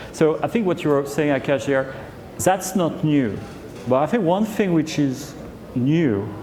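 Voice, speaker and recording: A man with a French accent talks at a fairly high pitch and a fairly slow pace, with lively intonation and long, frequent pauses. Noticeable background noise and audible room echo are present. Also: very even loudness. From France. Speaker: HR executive. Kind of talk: fireside chat on stage.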